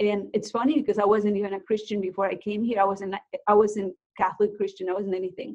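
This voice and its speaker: Someone speaks very fast with a Mexican accent. The intonation stays fairly even. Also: woman, medium pitch for a woman. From Mexico (Guerrero coast, then Mexico City). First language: Spanish. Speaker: realtor and nonprofit founder. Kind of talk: interview, personal story.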